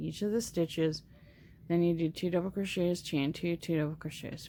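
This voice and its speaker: A woman talks in a fairly low voice. Her pitch varies in an ordinary way. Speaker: crochet tutorial host. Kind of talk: tutorial. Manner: slow.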